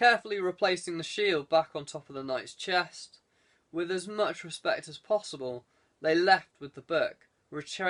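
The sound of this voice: Quiet background behind an unforced reading voice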